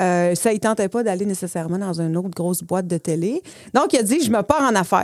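Speaking in a normal speaking voice at a fairly quick pace with ordinary pitch variation, the talker comes through in a very clean, dry, close recording with a silent background and no echo. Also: woman. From Saguenay-Lac-Saint-Jean, Quebec. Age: 40s. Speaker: entrepreneur. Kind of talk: casual interview.

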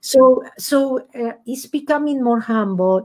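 With a dark, mellow tone, a woman speaks with very wide pitch swings. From Argentina. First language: Spanish. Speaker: author and former accountant. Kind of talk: interview.

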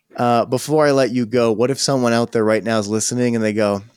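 On a very clean recording with a silent background, a man speaks in a normal speaking voice at medium pitch with fairly even intonation. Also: dry, close sound with no echo. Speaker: podcast host. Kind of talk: interview conversation.

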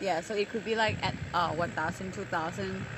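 A woman with a Thai accent, medium pitch, fairly even intonation and a moderate pace. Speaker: podcast host. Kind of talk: casual interview chat. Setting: rooftop bar. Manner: halting with many fillers.

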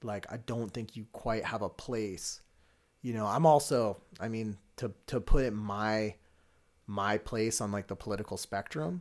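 In an ordinary speaking voice, a man talks at a fairly slow pace with a fairly low pitch and ordinary pitch variation, on a very clean recording with a silent background. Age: 20s. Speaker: amateur MMA fighter. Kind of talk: casual chat.

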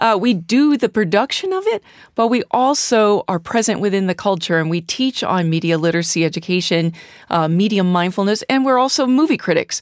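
A woman with an American accent and an unremarkable speaking voice talks at a fairly quick pace in a medium pitch with lively intonation. The recording is very clean, with a silent background and a dry, close sound with no echo. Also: very even loudness. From US Midwest, St. Louis, Missouri. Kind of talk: casual interview. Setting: studio.

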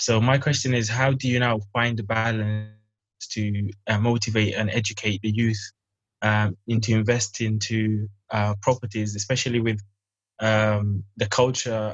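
A man's fairly low, somewhat breathy voice, monotone and flat, at a moderate pace. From Sudan. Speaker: youth organization founder. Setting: video call. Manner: halting.

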